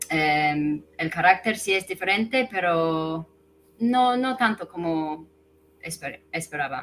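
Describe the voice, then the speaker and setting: With an English accent, a woman speaks at a very slow pace, her fairly low pitch carried by lively intonation. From England. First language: English (speaking Spanish). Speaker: guest, expat language learner. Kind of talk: casual interview.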